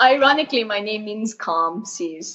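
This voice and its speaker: With an Arabic accent, a woman speaks at a fairly slow pace and fairly high pitch, her intonation lively. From Saudi Arabia, Jeddah. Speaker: mountaineer. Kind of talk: interview.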